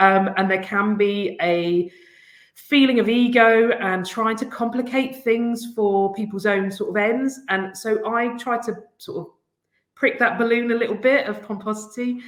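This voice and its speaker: Speaking at a fairly slow pace, a woman with an English accent has a fairly high pitch and ordinary pitch variation. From England. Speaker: head teacher. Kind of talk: conference presentation.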